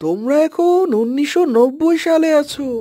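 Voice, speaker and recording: A woman uses a cartoonish character voice, pitched high, with ordinary pitch variation. She talks at a moderate pace. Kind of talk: cartoon voice acting. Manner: explanatory, gentle.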